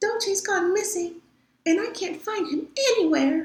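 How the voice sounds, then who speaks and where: A woman whispers in a squeaky, put-on character voice. Her pace is moderate. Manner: whispering, upset.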